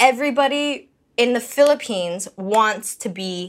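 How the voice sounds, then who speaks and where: On a very clean recording with a silent background, a woman speaks in an ordinary speaking voice, fairly high in pitch, with lively intonation. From Canada. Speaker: podcast guest. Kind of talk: casual chat.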